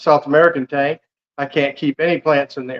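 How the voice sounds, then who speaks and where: Recorded dry and close with no echo, a man with a fairly high pitch talks at a moderate pace with fairly even intonation. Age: 60s. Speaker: military retiree and fishkeeper. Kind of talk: casual chat.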